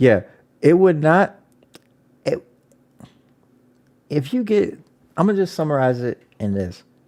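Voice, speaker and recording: The voice is loud, with a dark, mellow tone and very wide pitch swings. It moves at a fairly slow pace with long, frequent pauses. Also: man, fairly high pitch for a man. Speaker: podcast co-host. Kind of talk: casual chat. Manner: animated.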